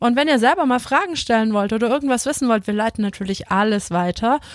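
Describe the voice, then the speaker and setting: A woman with an unremarkable speaking voice, fairly high pitch and fairly quick pace, in a dry, close sound with no echo. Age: 30s. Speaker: podcast host, former handball player. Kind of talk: casual interview.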